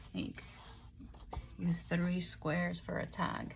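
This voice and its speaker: A woman's voice sits at a fairly low pitch and sounds somewhat breathy. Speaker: crafting YouTuber. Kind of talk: product haul show-and-tell. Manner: boisterous.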